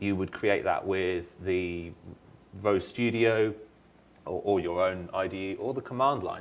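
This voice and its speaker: A man with a British accent speaks at a moderate pace and a fairly low pitch. Room echo is audible. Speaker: software engineer presenter. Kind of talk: conference presentation. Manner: halting, many fillers.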